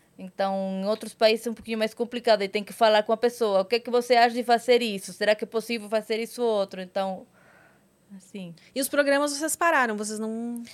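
A woman talks at a fairly quick pace in a normal speaking voice. Her pitch sits fairly high. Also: fairly even intonation, big swings in loudness, very clean recording, silent background. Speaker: adult content creator and actress. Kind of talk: casual chat.

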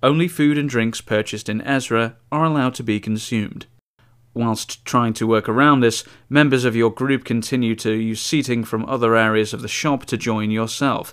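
This is a man with an unremarkable speaking voice at medium pitch and a moderate pace. His intonation is fairly even, on a very clean recording with a silent background. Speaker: podcast host. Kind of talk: scripted narration reading reviews aloud.

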